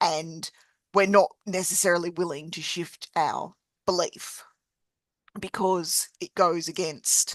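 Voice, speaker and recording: Heard in a dry, close recording with no echo, a woman speaks with an Australian accent. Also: quiet background. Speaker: podcast host and coach. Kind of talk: casual conversation.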